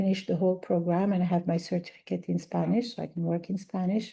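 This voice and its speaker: Against a quiet background, a woman speaks in a dark, mellow tone at a fairly low pitch. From Algeria. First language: Arabic. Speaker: language teacher. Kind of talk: podcast interview.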